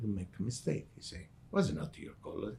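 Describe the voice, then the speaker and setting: A man speaks in a medium-pitched voice that is somewhat breathy. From southern Italy, Calabria. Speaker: restaurant owner. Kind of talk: interview storytelling.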